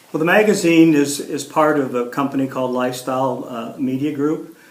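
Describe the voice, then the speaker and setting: A man with an American accent at a moderate pace, fairly even intonation, audible room echo and noticeable background noise. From Ohio, US Midwest. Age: 60s. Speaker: local council candidate, magazine publisher. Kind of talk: editorial board interview. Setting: interview with editorial board. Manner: halting, many fillers and repeats.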